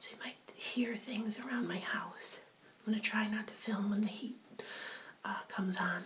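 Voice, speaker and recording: Noticeable background noise sits behind a woman. Her pitch is fairly high and her intonation is monotone and flat. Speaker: ASMR and beauty video creator. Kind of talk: casual talk to camera. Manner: casual, conversational, slightly hesitant.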